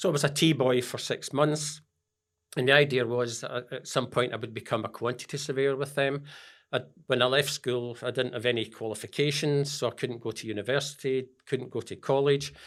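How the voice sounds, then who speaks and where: The recording is very clean with a silent background, and a man speaks at a medium pitch and fairly quick pace with fairly even intonation. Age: 70s. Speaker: business founder and mentor. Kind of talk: interview. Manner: halting.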